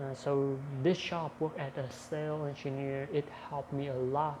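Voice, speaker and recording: Noticeable noise sits in the background. The speech moves fairly slowly. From Vietnam, Lâm Đồng province. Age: 20s. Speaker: sales engineer practicing English. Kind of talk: self-introduction monologue. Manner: halting, with many fillers.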